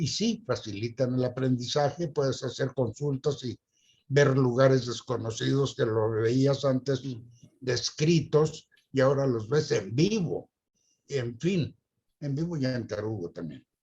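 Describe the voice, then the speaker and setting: Somewhat breathy and medium in pitch, a man speaks at a fairly slow pace with ordinary pitch variation. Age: 80s+. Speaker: retired teacher. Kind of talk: interview.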